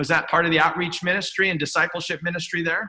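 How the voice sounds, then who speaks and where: The background stays quiet while a man talks. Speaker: interview host. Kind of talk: interview question. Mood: warm, friendly. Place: home room. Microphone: webcam.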